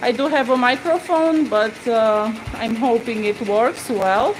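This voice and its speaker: A woman speaks with a Romanian accent in a high pitch. Noticeable background noise can be heard. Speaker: embroidery tutor. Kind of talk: live-stream tutorial. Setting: home studio, live stream. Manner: halting.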